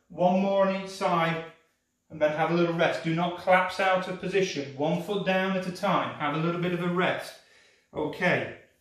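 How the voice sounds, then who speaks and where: A man's high-pitched voice at a moderate pace, with monotone, flat intonation and audible room echo. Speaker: pilates instructor. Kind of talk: exercise class instruction. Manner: instructive, measured pacing.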